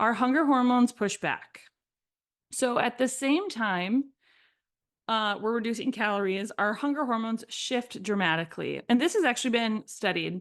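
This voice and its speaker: A woman's fairly high voice over a quiet background. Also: ordinary pitch variation, moderate pace. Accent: American. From Minnesota. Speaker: podcast host, fitness coach. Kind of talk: educational podcast monologue. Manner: casual, conversational with fillers.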